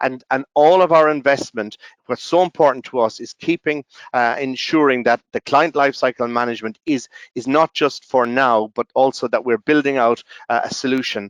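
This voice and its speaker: A man with an Irish accent speaks at a moderate pace, his medium-pitched voice showing ordinary pitch variation. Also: dry, close sound with no echo. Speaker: software company representative. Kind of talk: webinar presentation. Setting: online webinar. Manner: halting, many fillers and restarts.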